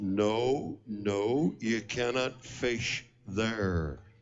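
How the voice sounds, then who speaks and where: A loud, booming put-on character voice from a man, medium in pitch and stern in tone. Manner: big, booming, stern.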